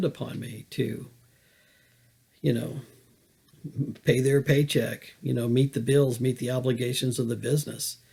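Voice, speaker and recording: With vocal fry and a medium pitch, a man speaks in a monotone, flat way. His pace is moderate, broken by long, frequent pauses. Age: 60s. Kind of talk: personal testimony monologue. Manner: halting, many fillers.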